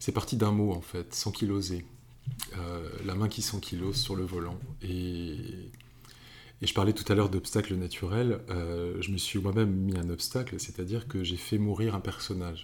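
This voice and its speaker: At a fairly slow pace, the somewhat breathy voice keeps a fairly even intonation. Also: man, fairly low pitch for a man. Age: 50s. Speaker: novelist. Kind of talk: interview. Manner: halting, many repetitions and hesitations.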